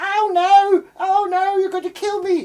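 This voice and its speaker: A put-on character voice, extremely high and flat in a monotone, at a fairly slow pace. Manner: panicked, whiny.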